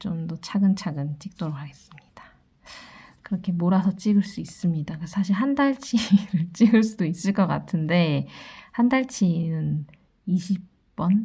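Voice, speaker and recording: On a very clean recording with a silent background, a woman of medium pitch speaks at a fairly slow pace in a dark, mellow, somewhat breathy tone, with ordinary pitch variation and big swings in loudness. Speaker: tarot reader. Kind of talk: daily fortune reading.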